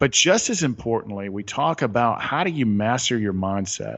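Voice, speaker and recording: Here a man talks with a Southern US accent in an animated tone. His pitch is medium and his pace moderate. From US South, south Atlanta, Georgia. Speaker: author and retreat leader. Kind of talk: interview.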